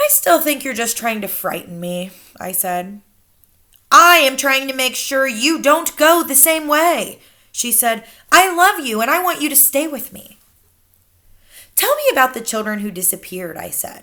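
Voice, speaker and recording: Raised and projected, a woman's high-pitched voice has a bright, sharp tone, very wide pitch swings, big swings in loudness, a moderate pace and long, frequent pauses. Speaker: teacher. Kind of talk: storybook reading.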